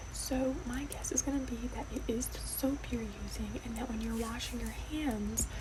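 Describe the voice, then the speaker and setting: Soft-spoken and whispering at a moderate pace, a woman is heard over noticeable background noise. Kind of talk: ASMR roleplay as allergist and dermatologist. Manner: whispered, soft-spoken.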